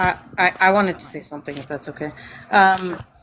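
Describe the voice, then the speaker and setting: A woman speaks in an ordinary speaking voice, her pitch fairly low and her pitch variation ordinary. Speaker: stream panelist. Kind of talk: casual political discussion.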